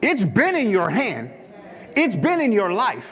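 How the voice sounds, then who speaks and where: A man's voice with very wide pitch swings. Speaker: pastor. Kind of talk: sermon. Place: church. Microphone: lapel.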